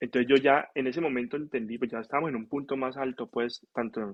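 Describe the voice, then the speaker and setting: Talking at a medium pitch, a man keeps a fairly quick pace. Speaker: physician (nephrologist). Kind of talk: casual interview storytelling.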